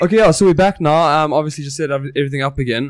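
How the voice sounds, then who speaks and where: On a very clean recording with a silent background, a man with a South African accent talks at a very fast pace, fairly high in pitch with ordinary pitch variation. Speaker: podcast host. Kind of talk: casual chat. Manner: animated.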